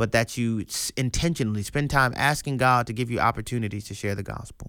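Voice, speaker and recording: Medium-pitched male voice with lively intonation at a fairly quick pace, on a very clean recording with a silent background. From US, grew up in an urban neighborhood. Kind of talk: radio commentary with sermon-style teaching. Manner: emphatic, repeats words.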